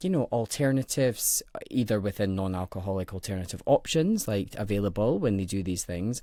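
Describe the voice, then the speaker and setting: A man's fairly low voice with a Scottish accent in a very clean recording with a silent background. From Scotland, Edinburgh. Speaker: HR professional, podcast guest. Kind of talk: casual interview chat.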